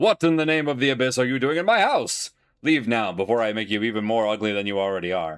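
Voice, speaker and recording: A man puts on a booming character voice at medium pitch and speaks very fast. The recording is very clean, with a silent background. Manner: threatening.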